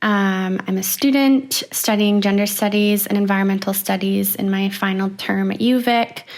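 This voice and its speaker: A woman with a Canadian accent talks at a moderate pace, with hardly any pauses. She has an ordinary speaking voice at a medium pitch. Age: 20s. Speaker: university student and program participant. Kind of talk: podcast interview.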